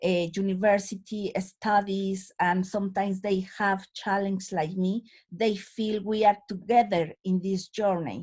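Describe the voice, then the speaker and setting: Spoken at a fairly slow pace with a strong Latin American accent, the somewhat breathy voice stays monotone and flat over a very clean recording with a silent background. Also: woman, medium pitch for a woman. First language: Spanish. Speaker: community activist. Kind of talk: panel talk. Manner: halting, with filler sounds.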